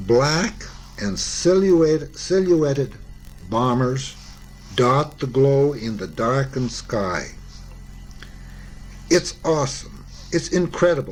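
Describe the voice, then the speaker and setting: With music in the background, a man with a fairly high pitch speaks at a very slow pace with lively intonation and long, frequent pauses. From Canada. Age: 70s. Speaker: war veteran. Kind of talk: memoir reading.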